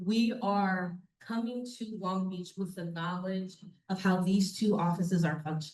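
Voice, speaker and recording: A woman speaks at a medium pitch and a fairly slow pace. Her intonation is fairly even and her voice somewhat breathy. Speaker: reentry program staff presenter. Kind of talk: public presentation. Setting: public meeting with in-person audience. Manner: casual, many fillers.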